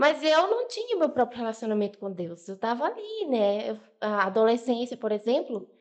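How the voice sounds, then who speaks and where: Noticeable background noise sits under speech with lively intonation, delivered at a moderate pace with hardly any pauses. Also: woman, fairly high pitch for a woman. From Bahia, Brazil. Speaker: podcast guest. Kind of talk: testimony.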